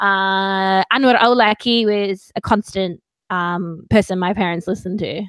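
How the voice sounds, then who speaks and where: A woman with an Australian accent talks at a medium pitch. The recording is very clean with a silent background and a dry, close sound with no echo. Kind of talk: casual live video chat interview. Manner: animated.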